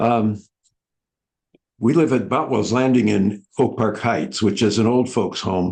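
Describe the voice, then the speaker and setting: Pitched fairly low, a man speaks at a very slow pace with ordinary pitch variation. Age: 80s+. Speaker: book club participant. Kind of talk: casual discussion.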